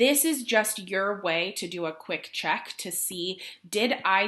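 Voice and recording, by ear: A natural read-aloud voice with lively intonation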